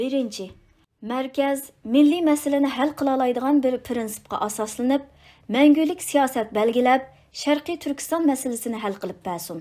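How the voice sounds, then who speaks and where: A woman speaks at a fairly slow pace, her high pitch showing ordinary variation. Her tone is dark and mellow, on a very clean recording with a silent background. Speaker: audiobook narrator. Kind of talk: reading aloud.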